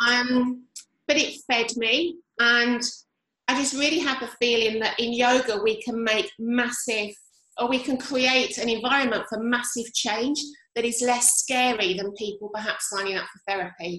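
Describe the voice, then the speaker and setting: At a moderate pace, a woman speaks in a bright, sharp tone at a high pitch with ordinary pitch variation. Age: 50s. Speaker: yoga teacher. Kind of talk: casual chat.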